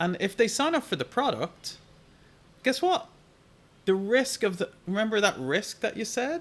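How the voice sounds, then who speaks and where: With an Irish accent, a man speaks at a moderate pace in a high voice with very wide pitch swings. He leaves long, frequent pauses. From Ireland. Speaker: digital marketing coach. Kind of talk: live Q&A stream. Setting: live stream. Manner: animated.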